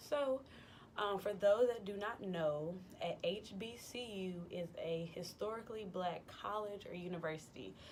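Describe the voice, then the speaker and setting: There is audible room echo on the recording. A woman talks at a medium pitch. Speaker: vlogger. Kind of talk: casual vlog monologue. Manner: casual, many fillers (um, like).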